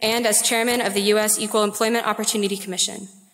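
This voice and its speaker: A woman's fairly high voice at a very fast pace, with audible room echo. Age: 20s. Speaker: student. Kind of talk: speaker introduction. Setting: lecture hall podium.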